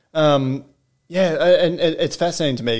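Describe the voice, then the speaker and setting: Fairly high male voice in an Australian accent with ordinary pitch variation. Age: 20s. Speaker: podcast host. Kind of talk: casual chat. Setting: guest's apartment.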